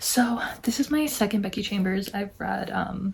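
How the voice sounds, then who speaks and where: Soft-spoken and at a fairly slow pace, the voice comes through noticeable background noise. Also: woman. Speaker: book vlogger. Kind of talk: casual chat.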